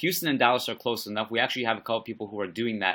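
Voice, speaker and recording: A man's animated, bright, sharp voice at medium pitch, on a very clean recording with a silent background. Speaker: football podcast host. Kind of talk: podcast intro with event promotion.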